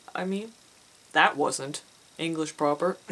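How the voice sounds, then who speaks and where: Noticeable background noise sits behind a woman who talks fairly slowly, her pitch varying in an ordinary way. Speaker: indie author and vlogger. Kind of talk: casual vlog. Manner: animated.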